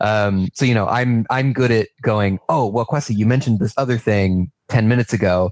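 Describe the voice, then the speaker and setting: Speaking at a moderate pace with hardly any pauses, a man with an American accent has an unremarkable speaking voice, a medium pitch, ordinary pitch variation and very even loudness, with a dry, close sound and no echo. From New York. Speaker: game narrative writer. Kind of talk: casual interview.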